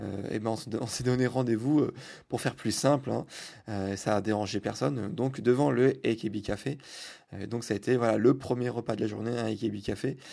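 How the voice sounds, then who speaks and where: On a very clean recording with a silent background, a man with a dark, mellow tone and vocal fry speaks at a moderate pace. His pitch is medium with ordinary variation, and long, frequent pauses break up his speech. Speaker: podcast host. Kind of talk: travel diary monologue. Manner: halting, many fillers.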